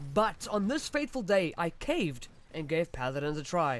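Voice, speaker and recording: A man speaks here. His pitch swings very widely. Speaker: gaming YouTuber. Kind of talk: personal narration.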